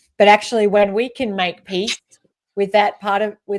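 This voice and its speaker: A woman speaks in an Australian accent at medium pitch. Her pace is moderate. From rural Australia. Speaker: leadership expert and author. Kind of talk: interview.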